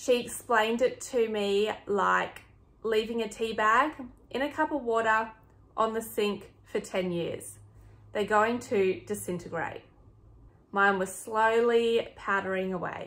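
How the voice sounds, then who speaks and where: A woman with a fairly high voice and an Australian accent, fairly slow pace, long, frequent pauses and ordinary pitch variation. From Sydney, Australia. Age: 30s. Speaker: flight attendant. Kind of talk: health vlog talk to camera.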